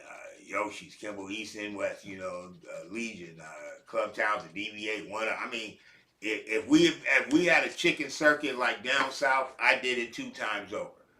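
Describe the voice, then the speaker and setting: Over noticeable background noise, an animated man talks at a medium pitch and moderate pace with hardly any pauses. His intonation is lively, and his loudness swings widely. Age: 60s. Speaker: rapper and show host. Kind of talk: casual monologue promoting a show.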